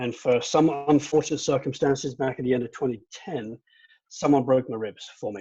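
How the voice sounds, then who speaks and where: A man with a British accent speaks at a moderate pace in a medium pitch and a dark, mellow tone. His intonation is fairly even, though his loudness swings widely. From England. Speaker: amateur runner, former judo competitor. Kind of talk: panel discussion.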